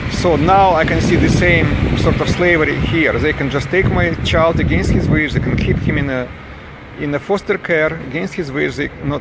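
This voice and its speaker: A man with a Russian accent and a fairly high pitch, over noticeable background noise. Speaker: campaigning father. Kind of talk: protest monologue to camera. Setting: outdoors on a street. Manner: halting.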